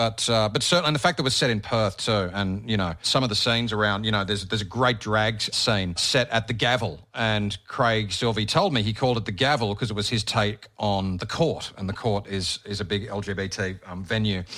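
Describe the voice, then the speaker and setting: A man talks at a fairly quick pace in a bright, sharp tone with ordinary pitch variation. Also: fairly low pitch for a man, hardly any pauses. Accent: Australian. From Australia, Bathurst NSW. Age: 40s. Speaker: radio host and podcaster. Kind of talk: casual interview chat.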